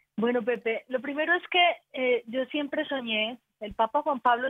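With an Antioquian accent, a woman speaks at a moderate pace in a high pitch, her pitch varying in an ordinary way. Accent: Colombian paisa (Antioquia) Spanish. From Colombia, Antioquia. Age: 40s. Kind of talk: casual chat.

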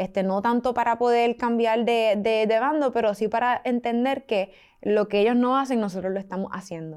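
A woman's unremarkable speaking voice, fairly high in pitch, at a moderate pace, on a very clean recording with a silent background. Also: fairly even intonation. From Puerto Rico. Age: 20s. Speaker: student activist. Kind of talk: interview.

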